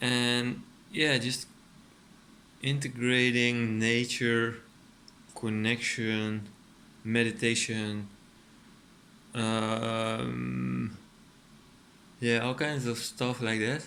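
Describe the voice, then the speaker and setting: In a room with audible echo, a man speaks very slowly at a medium pitch, his bright, sharp tone monotone and flat. Long pauses come often. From Netherlands. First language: Dutch. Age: 30s. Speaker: artist and furniture maker. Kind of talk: casual vlog monologue. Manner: hesitant, many fillers.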